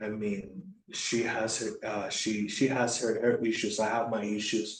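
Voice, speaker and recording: A man with a Puerto Rican accent speaks at a fairly slow pace with fairly even intonation. Audible room echo is present. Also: medium pitch for a man. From Puerto Rico. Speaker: former Navy recruiter, veteran. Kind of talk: casual chat. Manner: halting, many fillers and repetitions.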